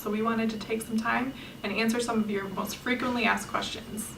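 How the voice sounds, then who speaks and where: In an American accent, a woman with a fairly high pitch talks at a very fast pace in a monotone, flat intonation, with audible room echo and noticeable background noise. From US Midwest, Wisconsin. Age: 20s. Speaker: travel vlogger. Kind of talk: scripted video introduction.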